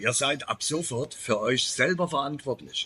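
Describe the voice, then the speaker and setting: A man speaks with a bright, sharp tone. His pitch variation is ordinary. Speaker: YouTuber, expat remote worker. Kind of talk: casual vlog monologue. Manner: unscripted, with many filler pauses.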